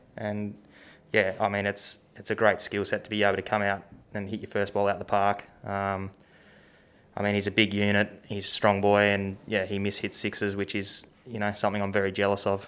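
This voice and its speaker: A fairly low-pitched man's voice in an Australian accent, with monotone, flat intonation and a fairly quick pace, on a very clean recording with a silent background. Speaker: professional cricketer. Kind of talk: casual chat. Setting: studio.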